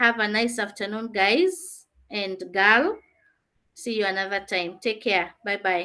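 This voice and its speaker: Against a quiet background, a woman of medium pitch talks at a fairly slow pace in a bright, sharp tone with fairly even intonation. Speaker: teacher. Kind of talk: online class lesson.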